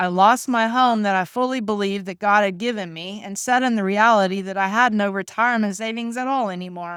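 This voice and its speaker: A plain, everyday voice with hardly any pauses comes through on a very clean recording with a silent background. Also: woman, medium pitch for a woman, fairly quick pace. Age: 50s. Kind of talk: faith-based personal testimony to camera.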